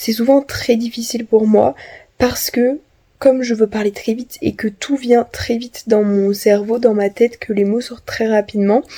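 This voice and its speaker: This woman's voice is dark and mellow, pitched fairly high. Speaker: vlogger. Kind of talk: vlog monologue. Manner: many filler sounds.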